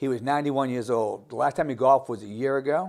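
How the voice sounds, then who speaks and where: In a plain, everyday voice, a man talks at medium pitch with fairly even intonation. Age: 60s. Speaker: gym owner. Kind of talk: interview.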